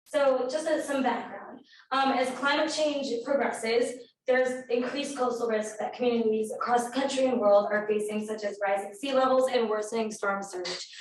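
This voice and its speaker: A woman speaks at a high pitch with ordinary pitch variation. Audible room echo surrounds her voice. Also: moderate pace. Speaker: undergraduate research intern. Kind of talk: research presentation. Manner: hesitant, many fillers.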